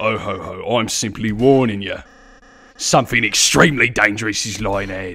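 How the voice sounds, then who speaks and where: A strained, put-on character voice from a man at medium pitch, with fairly even intonation, big swings in loudness, and a moderate pace. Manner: ominously warning, theatrical.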